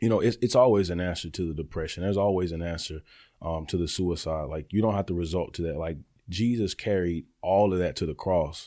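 A man with a Southern US accent, a very deep, low pitch and a dark, mellow tone, at a fairly quick pace with ordinary pitch variation, on a very clean recording with a silent background. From Alabama, Birmingham. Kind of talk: interview. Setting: studio.

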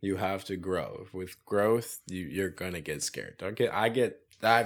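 A man in an ordinary speaking voice, fairly low in pitch with ordinary pitch variation, at a fairly slow pace, on a very clean recording with a silent background. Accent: American. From US South, central Florida. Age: 20s. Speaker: tree service business owner. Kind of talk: casual interview chat.

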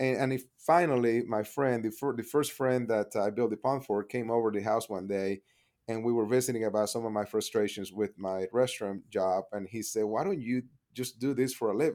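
The speaker has a Spanish accent and talks at a fairly quick pace with ordinary pitch variation. The recording is very clean, with a silent background. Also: man, medium pitch for a man. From Panama. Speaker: pond contractor, business owner. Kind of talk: interview.

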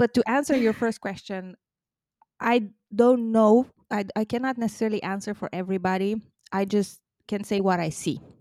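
A woman with a non-native accent speaks at a moderate pace in a fairly high, dark and mellow voice, her intonation fairly even and broken by long, frequent pauses, on a very clean, silent-background recording with a dry, close sound and no echo. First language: not English. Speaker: diversity and inclusion consultant. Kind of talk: casual interview.

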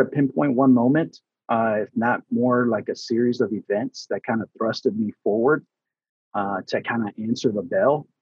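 A man with an unremarkable speaking voice talks at a medium pitch. His pace is moderate, with ordinary pitch variation. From US Southeast (Atlanta), born in Houston, Texas. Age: 40s. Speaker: construction safety manager and trainer. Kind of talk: casual interview.

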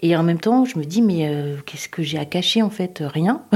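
A woman's moderate-paced speech at a fairly low pitch with ordinary pitch variation. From France, Tours. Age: 50s. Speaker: homemaker. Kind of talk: personal testimony. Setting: in a home. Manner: halting.

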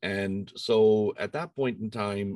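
An Irish accent against a quiet background. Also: man. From Ireland. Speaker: engineering professor. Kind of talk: interview.

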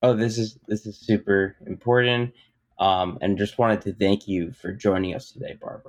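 This man has a plain, everyday voice, fairly low in pitch, with ordinary pitch variation, big swings in loudness and a moderate pace. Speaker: podcast co-host. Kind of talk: interview.

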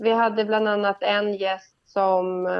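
Speaking very slowly, a woman holds a medium pitch with fairly even intonation. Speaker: TV morning show presenter. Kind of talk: casual chat.

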